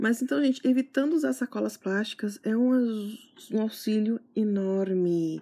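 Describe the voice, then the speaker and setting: A woman's fairly high, somewhat breathy voice with a dark, mellow tone, lively intonation, very even loudness and hardly any pauses. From Santana do Livramento, Rio Grande do Sul, Brazil. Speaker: gardening podcaster and blogger. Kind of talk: casual solo podcast talk.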